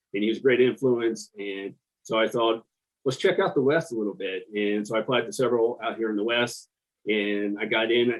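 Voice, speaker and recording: With an American accent, a man talks fairly quickly at medium pitch, with ordinary pitch variation and big swings in loudness. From US Midwest, southwest Ohio. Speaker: lawyer. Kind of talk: podcast interview.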